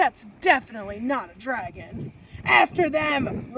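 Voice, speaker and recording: Gruff and growling, this put-on character voice sits at a high pitch and moves at a moderate pace. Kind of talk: read-aloud picture book. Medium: read story. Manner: gruff, snarling.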